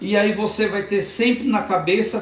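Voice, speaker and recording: A man with a high voice and an animated tone speaks fairly slowly with ordinary pitch variation, amid noticeable background noise and audible room echo. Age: 60s. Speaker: hair prosthesis specialist and hairdresser. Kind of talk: product demonstration tutorial; motivational talk. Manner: animated, repetitive emphasis; halting with false starts.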